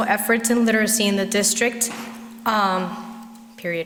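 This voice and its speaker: Recorded with audible room echo and noticeable background noise, a woman with a Spanish accent speaks at a fairly high pitch. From Puerto Rico. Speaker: parent speaking at public comment, physician. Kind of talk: prepared public comment speech. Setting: school board meeting at podium.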